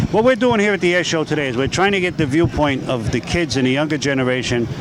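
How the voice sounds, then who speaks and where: A very fast pace with lively intonation over noticeable background noise. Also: man, fairly high pitch for a man. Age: 60s. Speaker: community TV interviewer. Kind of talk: casual vox-pop interview. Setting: outdoors at an air show.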